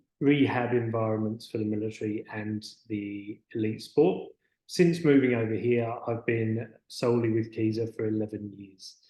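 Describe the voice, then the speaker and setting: A British accent at a moderate pace, with fairly even intonation and big swings in loudness. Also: man, medium pitch for a man. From United Kingdom. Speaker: physiotherapist. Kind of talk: webinar presentation. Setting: online webinar. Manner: halting, with frequent fillers.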